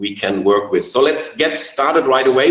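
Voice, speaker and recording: Against noticeable background noise, a man speaks with a non-native accent. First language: not English. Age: 40s. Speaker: network marketing leader. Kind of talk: online training webinar.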